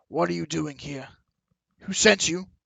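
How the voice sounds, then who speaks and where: A raspy put-on character voice swings very widely in pitch at a moderate pace. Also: man, fairly high pitch for a man. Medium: actual play. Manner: arrogant, menacing.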